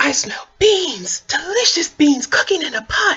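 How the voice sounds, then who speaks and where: An extremely high-pitched, put-on character voice swings very widely in pitch at a moderate pace. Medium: read story. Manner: eager, scheming.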